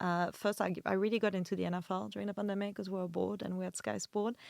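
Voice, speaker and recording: A woman speaks with a French accent. The sound is dry and close, with no echo. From France. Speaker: video producer and content creator. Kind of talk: casual chat.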